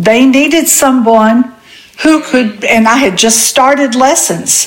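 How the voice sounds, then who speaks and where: Amid noticeable background noise, a woman speaks at a very slow pace with ordinary pitch variation. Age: 80s+. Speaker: widowed retiree and podcast co-host. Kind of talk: casual chat.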